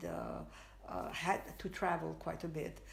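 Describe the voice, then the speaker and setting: At a very slow pace, a woman speaks amid audible room echo. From Spain. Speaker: artist. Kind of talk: interview, life story. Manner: halting, many fillers.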